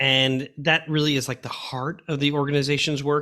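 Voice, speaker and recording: Speaking at a fairly quick pace, a man uses a fairly high pitch, a bright, sharp tone and monotone, flat intonation in a very clean recording with a silent background. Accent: American. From Long Island, New York. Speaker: podcast host, former school superintendent. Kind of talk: interview conversation.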